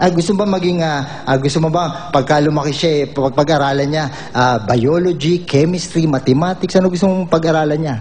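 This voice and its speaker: With ordinary pitch variation, a man talks on with hardly any pauses. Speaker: ventriloquist comedian. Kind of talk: comedy routine banter. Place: stage. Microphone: studio mic.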